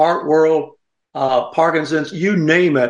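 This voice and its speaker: Fairly even intonation at a fairly slow pace. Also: man. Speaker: radio host. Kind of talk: casual chat. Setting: studio.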